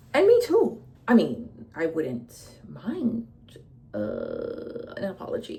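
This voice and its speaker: A woman talks very slowly while noticeable background noise plays behind her. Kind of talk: personal vlog monologue. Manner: animated.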